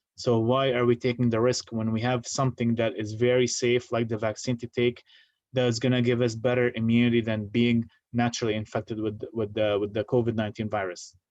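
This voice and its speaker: Monotone, flat intonation carries a man's medium-pitched voice as he talks fairly quickly. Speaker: deacon giving health talk. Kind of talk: lecture. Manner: halting.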